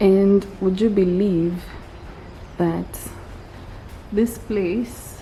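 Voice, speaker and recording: Over noticeable background noise, a woman whispers at a very slow pace with long, frequent pauses. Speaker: vlogger. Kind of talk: casual vlog narration. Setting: outdoors at a nature park. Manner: whispering.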